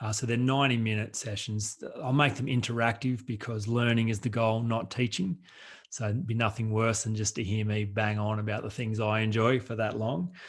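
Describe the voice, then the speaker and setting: Recorded very cleanly against a silent background, a man with an Australian accent speaks at medium pitch and a moderate pace with fairly even intonation. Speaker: author and coach, workshop presenter. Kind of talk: radio interview.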